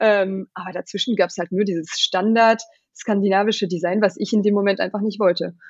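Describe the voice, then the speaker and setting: A normal speaking voice at a fairly quick pace, fairly even intonation, quiet background. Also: woman, medium pitch for a woman. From Germany. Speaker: company founder. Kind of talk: interview. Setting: home office.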